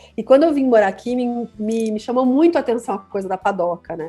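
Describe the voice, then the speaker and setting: Very fast speech with ordinary pitch variation, over background music. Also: woman. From southern Brazil, Curitiba. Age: 40s. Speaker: mixologist and former radio host. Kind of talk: casual podcast interview. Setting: recording studio. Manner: animated, with frequent fillers and repetitions.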